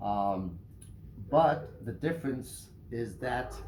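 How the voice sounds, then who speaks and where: At a very slow pace, a man speaks with lively intonation amid audible room echo. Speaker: knife reviewer, YouTuber. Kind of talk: product review. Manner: hesitant, many fillers.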